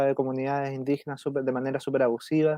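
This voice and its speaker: A man with a Chilean accent talks at a moderate pace, his pitch fairly high and his tone dark and mellow. The sound is dry and close with no echo, over a quiet background. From south-central Chile. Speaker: environmental lawyer. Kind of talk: interview. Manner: halting.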